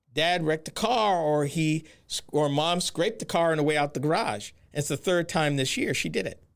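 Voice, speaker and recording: A man with an American accent and a plain, everyday voice, fairly high in pitch, at a moderate pace with ordinary pitch variation, in a very clean recording with a silent background. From northern or eastern US. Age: 60s. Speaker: podcast host. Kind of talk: solo podcast commentary. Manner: conversational, direct address to listeners.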